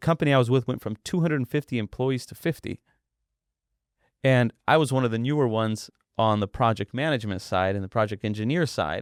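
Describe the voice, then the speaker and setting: Speaking very fast with an American accent, the voice shows ordinary pitch variation in a dry, close sound with no echo on a very clean recording with a silent background. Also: man, medium pitch for a man. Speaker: boxing event promoter. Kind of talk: podcast interview.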